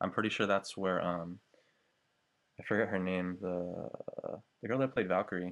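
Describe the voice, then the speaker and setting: Long, frequent pauses break up this man's moderate-paced speech. His pitch is very deep and low, with fairly even intonation. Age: 20s. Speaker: college student. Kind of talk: casual chat.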